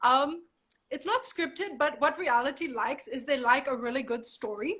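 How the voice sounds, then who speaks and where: Her voice is high-pitched, bright and sharp, raised and projected. The woman sounds animated, with lively intonation. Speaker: model. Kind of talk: casual interview. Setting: video call from home.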